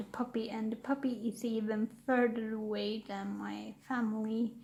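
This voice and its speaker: Soft-spoken and somewhat breathy, a woman with a Swedish accent talks at a fairly high pitch in a dark, mellow tone with monotone, flat intonation. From Sweden. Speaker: YouTuber. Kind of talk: casual chat. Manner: halting.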